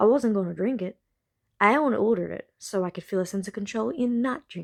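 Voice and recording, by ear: Someone is reading aloud in a natural voice with ordinary pitch variation over a quiet background.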